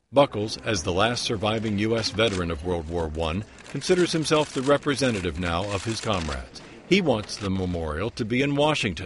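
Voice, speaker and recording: Noticeable background noise surrounds a man with a fairly low pitch. He talks at a fairly quick pace with very wide pitch swings. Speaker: TV news reporter. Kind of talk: TV news report narration.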